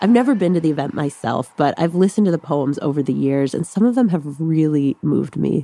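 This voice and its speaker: Talking at a very fast pace with hardly any pauses, a woman with a very deep, low pitch uses lively intonation and an animated tone, the sound dry and close with no echo. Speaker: radio host. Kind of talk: casual conversational hosting. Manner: animated, friendly.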